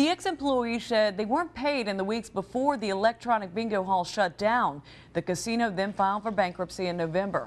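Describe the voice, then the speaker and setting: In a normal speaking voice, a woman talks at a fairly quick pace with lively intonation and a medium pitch. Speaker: TV news anchor and reporter. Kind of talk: TV news anchor read.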